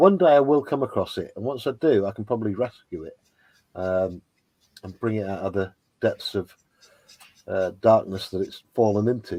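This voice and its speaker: A man with an English accent talks at a moderate pace, pitched fairly low with a dark, mellow tone. His loudness swings widely, and he takes long, frequent pauses. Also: ordinary pitch variation. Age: 50s. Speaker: toy and model kit YouTuber. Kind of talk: casual livestream chat.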